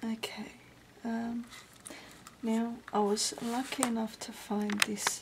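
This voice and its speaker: Over noticeable background noise, a soft-spoken voice talks very slowly in a flat monotone. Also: woman. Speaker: crafter. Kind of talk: tutorial. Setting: home at night.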